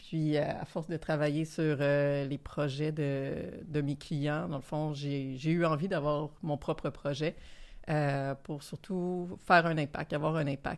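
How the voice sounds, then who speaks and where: Very slowly, a woman speaks at a very deep, low pitch with fairly even intonation. The recording is very clean, with a silent background. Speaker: startup founder, former lawyer. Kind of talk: casual panel discussion. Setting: studio.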